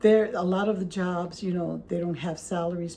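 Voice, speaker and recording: A woman speaks with a fairly low pitch and a dark, mellow tone. Her voice is somewhat breathy, and her intonation is monotone and flat. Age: 60s. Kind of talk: casual talk to camera. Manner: conversational, hesitant.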